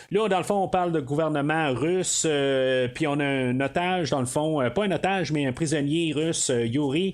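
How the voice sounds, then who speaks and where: A man speaks with a Quebec accent. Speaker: podcast host. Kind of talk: solo film review podcast. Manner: halting, many fillers.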